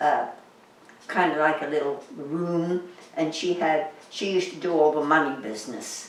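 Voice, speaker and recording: Noticeable background noise sits under a woman's very deep, low voice. She speaks at a moderate pace with ordinary pitch variation. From England. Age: old. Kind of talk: interview answer. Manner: hesitant.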